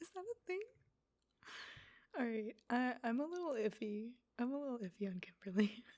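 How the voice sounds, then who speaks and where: A soft-spoken woman at a high pitch, with very wide pitch swings and a moderate pace. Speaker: ASMR creator. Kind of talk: soft-spoken ASMR commentary. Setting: stereo microphone, ear to ear. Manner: soft-spoken, casual, snarky.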